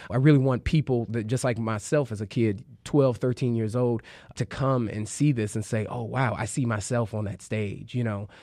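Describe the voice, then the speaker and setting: Against a quiet background, a man with an American accent and a plain, everyday voice talks at a moderate pace and medium pitch with fairly even intonation. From Chicago, South Side. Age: 20s. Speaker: improv comedian. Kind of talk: interview.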